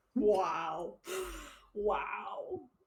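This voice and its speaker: The voice is a put-on character voice. Its pitch sits fairly high. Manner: impressed, dad-like.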